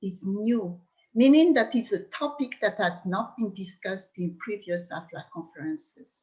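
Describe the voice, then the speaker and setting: A woman speaks with a Malagasy accent at a medium pitch and a moderate pace. Her voice is somewhat breathy, with lively intonation. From Madagascar. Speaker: language consultant. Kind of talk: conference talk.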